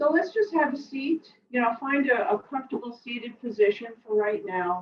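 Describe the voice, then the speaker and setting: A woman with an American accent, high-pitched, at a moderate pace, with very wide pitch swings. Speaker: tai chi and qigong instructor. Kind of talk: guided exercise class. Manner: casual, with many fillers.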